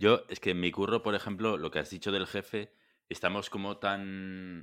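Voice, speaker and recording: Recorded very cleanly against a silent background, a man speaks at a moderate pace with a fairly low pitch and a bright, sharp tone. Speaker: podcast host. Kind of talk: casual chat.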